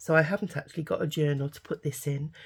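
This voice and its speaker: Somewhat breathy, this woman's voice sits very deep and low, with a dark, mellow tone. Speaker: craft youtuber. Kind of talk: crafting tutorial. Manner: halting, many fillers.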